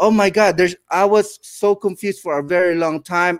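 The sound is close and dry, without echo. A man does the talking. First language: non-English (English is second language). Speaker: podcast host. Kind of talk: podcast interview. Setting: live online stream. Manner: halting, frequent fillers and repetitions.

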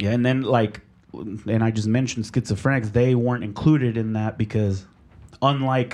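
A man uses a normal speaking voice at a moderate pace. His intonation stays fairly even. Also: medium pitch for a man, quiet background. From Mexico, raised in Oklahoma, US. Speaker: sound engineer. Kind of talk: casual interview chat.

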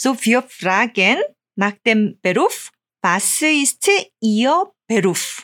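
A woman with a Korean accent, lively intonation and a very slow pace. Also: fairly high pitch for a woman, very even loudness. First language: Korean (speaking German). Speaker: Korean language teacher. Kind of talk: language lesson. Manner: halting.

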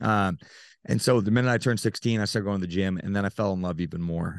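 Against a quiet background, a man with a fairly low pitch talks with fairly even intonation in a dry, close sound with no echo. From Utah, US. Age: 30s. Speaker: nutrition coach and bodybuilder. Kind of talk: casual interview.

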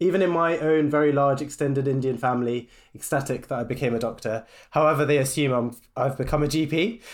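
A man with a British accent and fairly high pitch, at a fairly quick pace with ordinary pitch variation, in a very clean recording with a silent background. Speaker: cardiology registrar and podcast co-host. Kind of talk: casual chat.

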